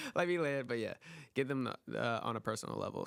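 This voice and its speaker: A man speaks at a fairly quick pace with vocal fry. The recording is very clean, with a silent background. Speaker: photographer and filmmaker. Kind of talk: casual chat. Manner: monotone; reserved.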